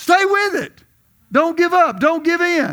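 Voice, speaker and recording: In a raised, projected voice with a bright, sharp tone, a man speaks at a fairly slow pace. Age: 70s. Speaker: visiting preacher. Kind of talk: sermon. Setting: church.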